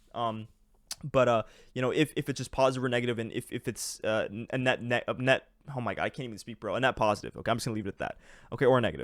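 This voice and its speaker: The tone is energetic and the pace very fast. The sound is dry and close with no echo, on a very clean recording with a silent background. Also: man, medium pitch for a man. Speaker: trading educator, YouTuber. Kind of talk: tutorial explaining charts. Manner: energetic, casual; halting, stuttering, many fillers.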